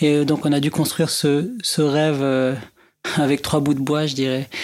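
A man with an Arabic accent speaks very slowly in a fairly high voice with monotone, flat intonation. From Lebanon, Beirut. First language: Arabic (speaking French). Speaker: music producer and musician. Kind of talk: interview.

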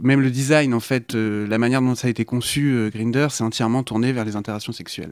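An unremarkable speaking voice comes at a fairly quick pace with ordinary pitch variation. The recording is very clean, with a silent background. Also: man. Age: 20s. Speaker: radio show guest. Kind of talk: radio discussion.

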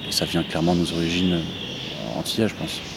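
A man talks over noticeable background noise. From central France (Orléans), Martinican mother. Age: young. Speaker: electronic musician, label co-founder. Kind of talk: interview. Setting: greenhouse in a park. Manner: halting, many hesitations.

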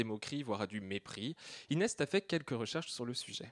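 Speaking at a very fast pace with lively intonation, a man is heard on a very clean recording with a silent background and a dry, close sound with no echo. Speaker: radio host. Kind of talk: radio show hosting. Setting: radio studio with audience.

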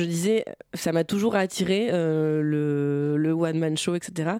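Very slow delivery in a dark, mellow tone, its pitch varying in an ordinary way. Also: woman. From Normandy, France (Bernay, Eure). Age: 20s. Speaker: stand-up comedian. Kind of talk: interview. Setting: studio. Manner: halting.

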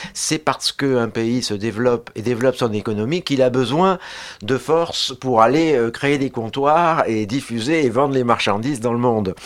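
This man has a plain, everyday voice at medium pitch. He speaks at a moderate pace with ordinary pitch variation. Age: 60s. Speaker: social science researcher and lecturer. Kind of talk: radio panel discussion.

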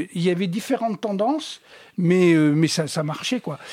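Here a man speaks fairly slowly in a high pitch with ordinary variation. The sound is dry and close, with no echo. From Tunisia. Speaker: jazz drummer. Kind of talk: interview.

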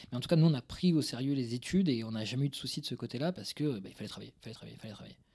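A man with a Toulouse accent, medium-pitched and dark, mellow in tone, very fast with hardly any pauses, ordinary pitch variation and big swings in loudness. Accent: southern French, Toulouse. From Toulouse suburbs, southwest France. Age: 30s. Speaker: career guidance coach and entrepreneur. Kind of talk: casual interview. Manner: halting, many repetitions.

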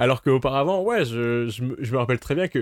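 Recorded very cleanly against a silent background, a man with an unremarkable speaking voice and ordinary pitch variation sounds dry and close, with no echo. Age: 20s. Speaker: campus radio co-host. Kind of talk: casual chat.

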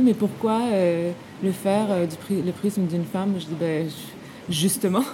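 Over noticeable background noise, a woman speaks at a fairly low pitch and a moderate pace with ordinary pitch variation. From Quebec. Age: 40s. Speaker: film director. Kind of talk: interview. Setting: film festival.

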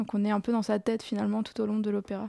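A woman speaks in a dark, mellow tone. The recording is very clean, with a silent background and a dry, close sound with no echo. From France, Strasbourg. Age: young. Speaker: composer. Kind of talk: radio interview.

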